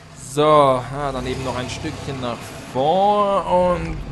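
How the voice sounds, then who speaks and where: With lively intonation, the male speaker talks while noticeable background noise carries on. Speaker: storyteller and driver reading a fairy tale aloud to the crew. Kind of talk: scripted fairy-tale reading with comic voices and amateur acting. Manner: animated storyteller, playful and theatrical.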